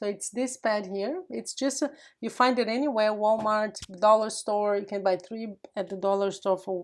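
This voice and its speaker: With a Portuguese accent, the speaker goes at a moderate pace with ordinary pitch variation on a very clean recording with a silent background. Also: woman. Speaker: craft youtuber. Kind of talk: tutorial. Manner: casual, chatty.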